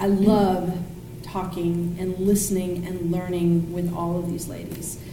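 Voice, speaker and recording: A woman talks at a fairly slow pace in a medium-pitched, monotone, flat voice. The room echo is audible and background noise is noticeable. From Thailand. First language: Thai. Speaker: political commentator. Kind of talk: casual chat. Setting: backyard guest house.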